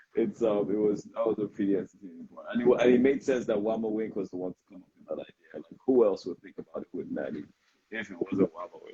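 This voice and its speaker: Talking at a very fast pace with a Nigerian accent, a man's voice shows big swings in loudness in a dry, close sound with no echo. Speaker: interviewer. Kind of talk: interview. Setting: Instagram live video stream. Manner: hesitant, many fillers.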